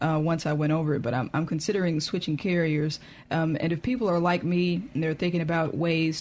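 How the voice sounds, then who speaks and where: In a Southern US accent, a woman with a very deep, low pitch talks at a fairly quick pace with fairly even intonation. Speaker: radio host. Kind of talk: casual chat.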